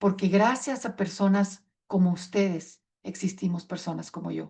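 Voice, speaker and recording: Her voice has a dark, mellow tone and is somewhat breathy. The woman speaks at a fairly slow pace with a fairly even intonation. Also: medium pitch for a woman. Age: 60s. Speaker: patient advocate speaker. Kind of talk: conference talk.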